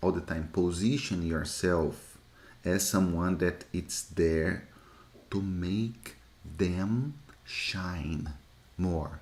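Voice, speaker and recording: This man has a Brazilian accent and a very deep, low pitch. He speaks at a very slow pace. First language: Portuguese. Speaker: lean six sigma instructor. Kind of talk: live Q&A teaching session. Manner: repetitive, halting.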